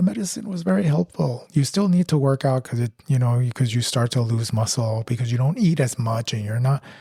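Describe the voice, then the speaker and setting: This man's voice has a dark, mellow tone and a medium pitch, somewhat breathy, with lively intonation. He speaks at a fairly quick pace with hardly any pauses. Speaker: podcast co-host. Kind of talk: casual chat.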